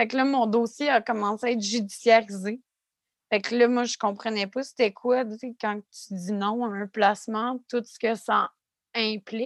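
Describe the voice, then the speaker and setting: A woman with a Quebec accent speaks at a fairly slow pace in a fairly high, monotone, flat voice, her loudness swinging widely, with a dry, close sound with no echo and a quiet background. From Quebec City area. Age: 30s. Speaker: podcast co-host, graduate student, former youth in care. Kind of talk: casual chat and personal testimony.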